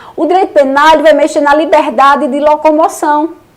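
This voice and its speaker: A woman talks in an animated tone at a high pitch. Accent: Paraíba. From Paraíba, Brazil (João Pessoa). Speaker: law teacher. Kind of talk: online lecture. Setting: live stream with chat.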